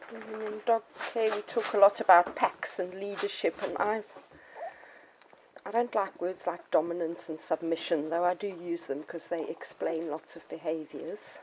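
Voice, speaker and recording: A woman at a moderate pace, big swings in loudness, over noticeable background noise. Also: ordinary pitch variation. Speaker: dog breeder. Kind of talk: casual explanatory talk to puppy buyers.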